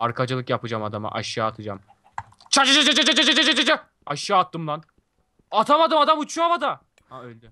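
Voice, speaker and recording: In a raised, projected voice, a man with a high pitch talks at a fairly quick pace, with very wide pitch swings and big swings in loudness. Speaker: gaming youtuber. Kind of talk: casual chat. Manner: animated; fast.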